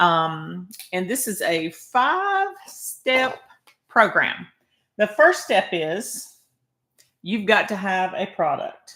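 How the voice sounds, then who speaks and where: With a Southern US accent, a woman speaks very slowly at a medium pitch, her bright, sharp tone and lively intonation broken by long, frequent pauses. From Arkansas. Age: 60s. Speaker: online marketer. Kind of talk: livestream sales pitch. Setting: live video stream.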